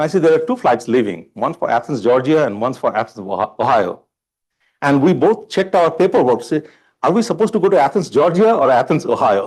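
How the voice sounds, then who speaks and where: A man with an Indian accent speaks very fast in a fairly high pitch, with vocal fry and very wide pitch swings. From India (Bombay). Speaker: college chancellor candidate. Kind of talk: job interview forum. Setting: public forum with live audience.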